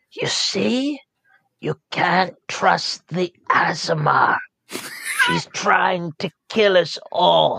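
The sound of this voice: The put-on character voice is raspy and set at a middle pitch, delivered at a very slow pace.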